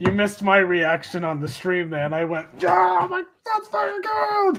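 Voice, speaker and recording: The speaker goes at a moderate pace. Noticeable background noise runs underneath. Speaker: livestream host. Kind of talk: casual chat.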